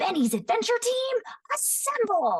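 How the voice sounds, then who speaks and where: A woman does a loud put-on character voice at an extremely high pitch in an excited tone. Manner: excited, loud.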